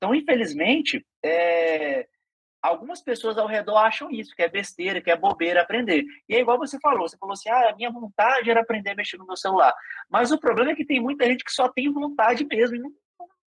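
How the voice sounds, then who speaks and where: Extremely high in pitch, a man speaks at a fairly quick pace with very wide pitch swings and big swings in loudness. The sound is dry and close, without echo. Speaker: podcast host and digital skills teacher. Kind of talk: casual interview chat.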